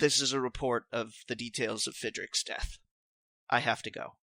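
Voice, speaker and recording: A man puts on a raspy character voice at a medium pitch and a moderate pace. The recording is dry and close, with no echo. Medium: actual play. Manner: hesitant, stammering.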